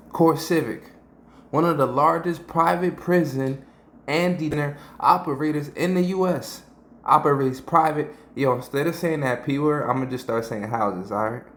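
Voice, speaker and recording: With ordinary pitch variation, a man speaks fairly high for a man at a moderate pace. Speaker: YouTube commentator. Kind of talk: commentary breakdown. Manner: animated.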